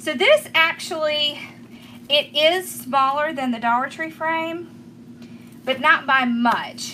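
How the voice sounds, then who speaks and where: A woman with a Southern US accent speaks in a raised, projected voice. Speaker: craft tutorial host. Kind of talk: live-stream craft tutorial. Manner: chatty, casual.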